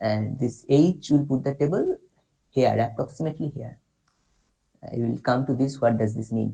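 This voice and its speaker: This voice has a dark, mellow tone with vocal fry and ordinary pitch variation, in an Indian accent. It moves at a moderate pace with long, frequent pauses. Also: man, medium pitch for a man. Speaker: workshop instructor. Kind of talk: tutorial. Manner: halting.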